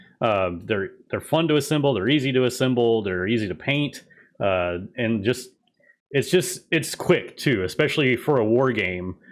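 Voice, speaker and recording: At a moderate pace, a man mumbles at a medium pitch. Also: lively intonation. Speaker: tabletop gaming channel host. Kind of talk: interview. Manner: mumbling.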